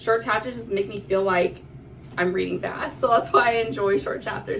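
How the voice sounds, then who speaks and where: A woman's animated voice at a fairly quick pace, with audible room echo and noticeable background noise. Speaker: book vlogger. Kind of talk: casual chat. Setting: recording in a bathroom. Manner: fast.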